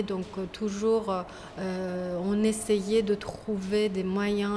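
This woman has a Persian accent and a medium-pitched voice, and there is noticeable background noise. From Iran, Tehran. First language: Persian (speaking French). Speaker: visual artist. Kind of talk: interview. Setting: exhibition space. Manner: halting, many hesitations.

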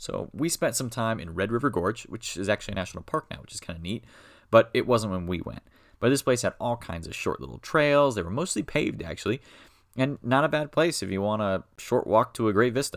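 Over a very clean recording with a silent background, a man with a normal speaking voice and medium pitch speaks at a fairly quick pace, with lively intonation and big swings in loudness. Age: 20s. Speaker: educational podcaster. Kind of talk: casual monologue.

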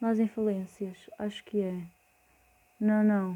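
The woman's tone is dark and mellow, at a medium pitch. She speaks at a very slow pace with monotone, flat intonation. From Portugal, Porto. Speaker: podcaster. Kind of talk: casual monologue. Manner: hesitant, many fillers.

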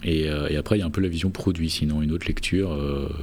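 Fairly even intonation carries speech that moves at a fairly quick pace. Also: man. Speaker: podcast host. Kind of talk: casual chat. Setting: huge room, under a duvet.

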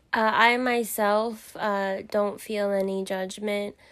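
This is a woman's voice. She speaks with a Californian accent. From Southern California, the Valley. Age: 20s. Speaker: insurance worker. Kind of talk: interview. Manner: halting.

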